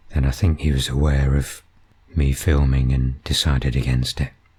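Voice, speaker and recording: A man talks in a calm, relaxed tone with a very deep, low pitch and very even loudness. Noticeable background noise sits behind him. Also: moderate pace. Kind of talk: nature video commentary.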